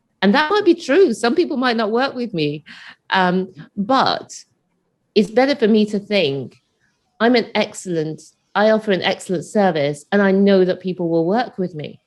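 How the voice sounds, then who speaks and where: The delivery moves at a moderate pace with lively intonation. The background is quiet. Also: woman, medium pitch for a woman. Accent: British. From UK. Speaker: property investor and business coach. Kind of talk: interview.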